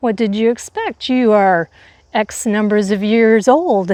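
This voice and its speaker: A dark, mellow tone comes through at a fairly slow pace with fairly even intonation. The sound is dry and close, with no echo. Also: woman. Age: 60s. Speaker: lifestyle vlogger on aging. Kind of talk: casual monologue to camera. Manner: conversational with frequent fillers.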